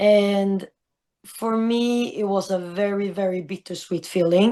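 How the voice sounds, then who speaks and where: Speaking at a very slow pace, a woman has a dark, mellow tone. The background is quiet. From Sweden. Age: young. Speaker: traveler and volunteer teacher. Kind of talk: interview. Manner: halting, many fillers.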